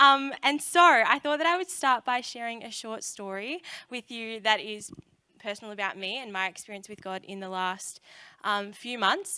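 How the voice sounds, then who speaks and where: A woman with an Australian accent talks at a moderate pace in a fairly high, bright, sharp voice. Her intonation is lively, her loudness swings widely, and the recording is very clean with a silent background. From Australia, Melbourne area. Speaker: youth speaker. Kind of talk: sermon. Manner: casual, many fillers.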